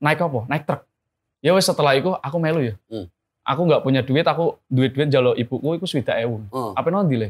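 Speaking very fast, a man delivers his words with lively intonation. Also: fairly high pitch for a man. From Central Java (Blora); Central Java. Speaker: entrepreneur; guest. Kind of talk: interview. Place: studio.

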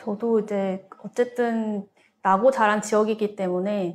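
With a plain, everyday voice, a woman speaks at a medium pitch and with fairly even intonation. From Gwangju, South Korea. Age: 30s. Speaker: local content entrepreneur. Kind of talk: panel discussion. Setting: studio.

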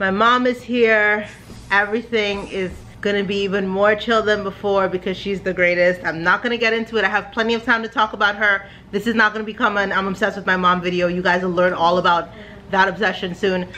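Light background noise sits behind this woman. She talks at a very fast pace with monotone, flat intonation. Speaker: family vlogger. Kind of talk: casual vlog chat. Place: home room. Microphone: phone near.

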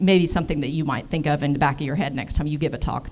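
With an American accent, a woman speaks with ordinary pitch variation.

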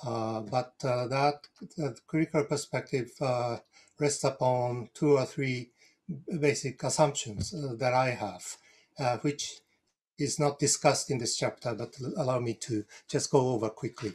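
Speaking with a Japanese accent, a man sounds somewhat breathy. His pace is fairly slow, and his pitch varies in an ordinary way. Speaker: retired professor; panelist, council member. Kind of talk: panel presentation. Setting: video call. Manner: halting, repeats words. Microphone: video call.

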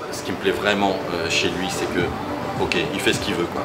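Over music in the background, the voice moves at a fairly quick pace. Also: man. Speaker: car vlogger. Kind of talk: casual vlog chat. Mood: amused, enthusiastic. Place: shop. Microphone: phone near.

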